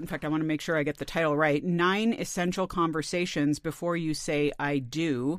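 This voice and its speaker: A woman with an ordinary speaking voice talks at a fairly low pitch and a moderate pace. Her pitch varies in an ordinary way on a very clean recording with a silent background. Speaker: podcast host. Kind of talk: moderated roundtable discussion. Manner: chatty, conversational.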